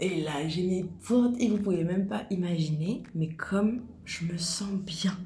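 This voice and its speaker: Soft-spoken woman at medium pitch, ordinary pitch variation, with audible room echo. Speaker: nail technician. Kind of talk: tutorial. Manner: casual.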